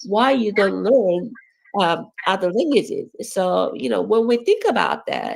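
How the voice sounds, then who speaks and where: The speaker talks at a fairly slow pace with a Korean accent. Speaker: education professor. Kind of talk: academic talk. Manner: halting, many fillers.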